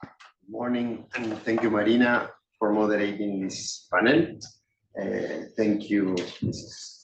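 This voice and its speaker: A man's fairly low voice with fairly even intonation at a very slow pace. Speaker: UN official. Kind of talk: panel remarks. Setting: small room with audience. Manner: loud.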